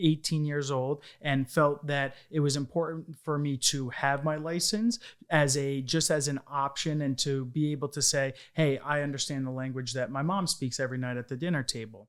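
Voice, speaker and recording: Over a silent background in a very clean recording, a man speaks at a moderate pace with fairly even intonation and a fairly high pitch. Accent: New York. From Long Island, New York. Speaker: insurance business owner. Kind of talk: interview.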